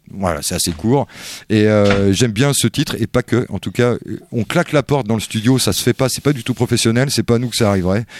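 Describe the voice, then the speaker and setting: A man with a plain, everyday voice talks at a fairly quick pace and medium pitch, with ordinary pitch variation. The recording is very clean, with a silent background and a dry, close sound with no echo. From France. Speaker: radio host. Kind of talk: casual chat.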